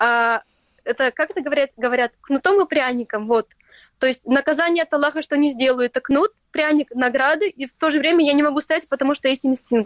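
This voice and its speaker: A woman with a high pitch talks at a fairly quick pace with ordinary pitch variation, the sound dry and close with no echo. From Crimea, Stary Krym. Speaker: influencer. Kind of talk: interview.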